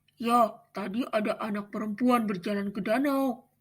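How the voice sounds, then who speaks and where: A woman speaks in a put-on character voice with a fairly high pitch. Her pace is moderate. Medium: read story.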